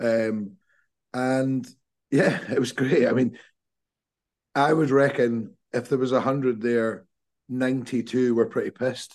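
A man with a Scottish accent speaks at a medium pitch and a fairly slow pace, with long, frequent pauses, very even loudness and fairly even intonation. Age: 40s. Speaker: football podcast co-host. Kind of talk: casual chat.

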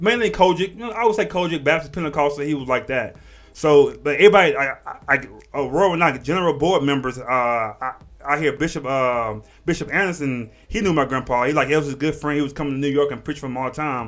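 A man with an American accent talks at a very fast pace, his pitch fairly high with ordinary variation. Music plays in the background. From Texas, Port Arthur area. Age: 30s. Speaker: podcast host. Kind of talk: casual chat. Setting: studio with camera. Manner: halting, many repetitions.

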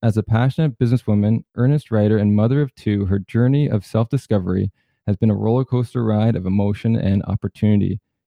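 Speaking in a plain, everyday voice, a man keeps a fairly quick pace at medium pitch with ordinary pitch variation. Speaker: podcast host. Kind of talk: casual interview.

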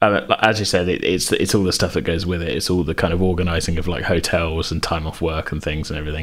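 With fairly even intonation, a man talks at a fairly quick pace in a very deep, low pitch. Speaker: podcast host. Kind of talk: casual chat. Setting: remote recording during lockdown.

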